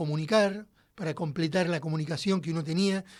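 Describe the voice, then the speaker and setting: A man with a high-pitched voice talks at a fairly quick pace with ordinary pitch variation, on a very clean recording over a silent background. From Argentina, Buenos Aires west (Padua, Merlo). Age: 60s. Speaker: musician. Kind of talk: interview. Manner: halting, many fillers.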